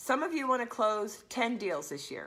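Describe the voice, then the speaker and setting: The woman's pace is moderate. Her tone is animated. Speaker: business coach for women real estate agents. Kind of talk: live stream talk to viewers. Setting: live stream.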